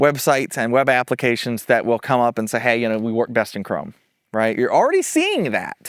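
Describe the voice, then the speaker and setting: A man talks very quickly on a very clean recording, the background silent. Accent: American. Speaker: tech YouTuber. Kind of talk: casual commentary. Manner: casual, hesitant with fillers.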